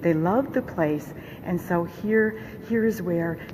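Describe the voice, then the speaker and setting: A quiet woman's voice at a fairly low pitch and fairly slow pace, with lively intonation, audible room echo and noticeable background noise. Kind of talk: vlog tour narration. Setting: inside a church shrine.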